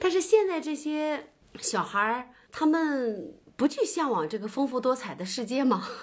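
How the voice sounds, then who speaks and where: The woman talks at a fairly slow pace. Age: 30s. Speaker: teacher. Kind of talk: casual book discussion.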